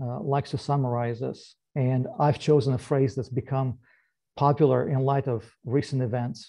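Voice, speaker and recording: A man speaks at a fairly slow pace in a somewhat breathy voice, with a medium pitch and ordinary pitch variation, against a quiet background. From Moldova. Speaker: government agency director; presenter. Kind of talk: presentation. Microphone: video call.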